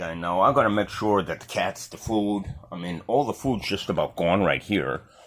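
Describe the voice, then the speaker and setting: A man speaks in a normal speaking voice with a fairly low pitch, ordinary pitch variation and a moderate pace. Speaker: home video vlogger. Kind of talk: casual vlog monologue.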